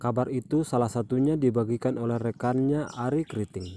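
A man with an ordinary speaking voice, medium pitch and ordinary pitch variation, at a moderate pace, the sound dry and close with no echo. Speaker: news narrator. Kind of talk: news reading, scripted narration. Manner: formal, even, steady.

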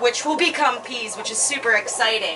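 Ordinary pitch variation shapes a woman's speech. Noticeable background noise can be heard as well. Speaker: gardening channel host. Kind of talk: tutorial. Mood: upbeat, excited. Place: garden.

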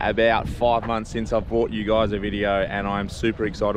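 Over light background noise, a man with an unremarkable speaking voice talks at a moderate pace with fairly low pitch and fairly even intonation, the sound dry with no echo. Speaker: fishing vlogger. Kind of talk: casual vlog chat. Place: street. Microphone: phone near.

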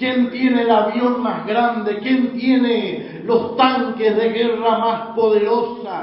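Speech comes at a very slow pace in a monotone, flat intonation, with audible room echo and light background noise. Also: man. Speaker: preacher. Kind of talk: sermon. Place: church.

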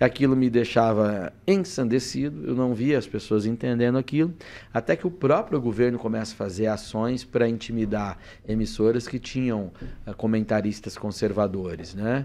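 With a dark, mellow tone, a man speaks at a moderate pace using lively intonation. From Brazil, western São Paulo state. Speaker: politician, former journalist and TV commentator; politician, former journalist, TV commentator. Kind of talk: podcast interview. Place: studio. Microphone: studio mic.

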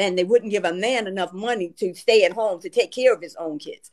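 The background stays quiet as a woman talks. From US. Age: 60s. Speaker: retired family court judge. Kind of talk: casual chat. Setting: livestream call. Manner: animated. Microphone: video call.

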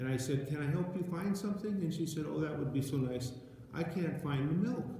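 In a room with strong echo, a man talks in a dark, mellow tone with ordinary pitch variation.

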